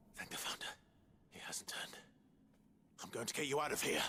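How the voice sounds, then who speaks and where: A man whispers in a put-on character voice. He goes at a very fast pace. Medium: video game.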